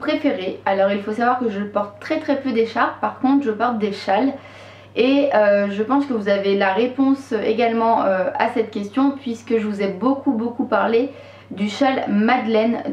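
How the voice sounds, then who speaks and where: Audible room echo surrounds a woman speaking at a high pitch. She goes at a fairly slow pace with ordinary pitch variation. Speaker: knitting vlogger. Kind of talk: casual vlog chat. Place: home room.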